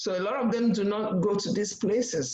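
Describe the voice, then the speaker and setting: Speech comes with a Nigerian accent. The pace is moderate. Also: woman. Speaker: nurse practitioner. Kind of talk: panel presentation. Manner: halting.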